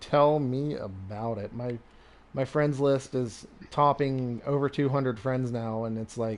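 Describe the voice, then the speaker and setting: A man with a plain, everyday voice speaks at a medium pitch and a fairly slow pace, keeping his intonation fairly even. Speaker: gaming live streamer. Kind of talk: casual chat. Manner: relaxed, conversational with many fillers.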